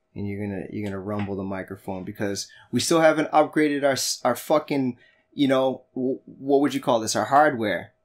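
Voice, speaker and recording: The recording is very clean, with a silent background. A man with an American accent talks at a fairly quick pace, with ordinary pitch variation. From Boston, New England. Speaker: podcast co-host. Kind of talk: casual chat. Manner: animated.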